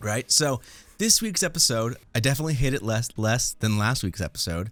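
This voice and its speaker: In a very clean recording with a silent background, a man of medium pitch talks at a fairly quick pace with lively intonation in an unremarkable speaking voice. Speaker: review podcast host. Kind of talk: casual chat.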